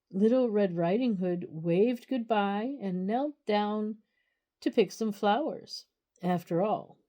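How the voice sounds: In a natural reading voice with ordinary pitch variation, the speaker reads against a quiet background.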